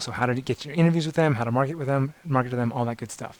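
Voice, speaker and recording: It is an ordinary speaking voice with ordinary pitch variation. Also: man. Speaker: startup workshop instructor. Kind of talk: workshop lecture.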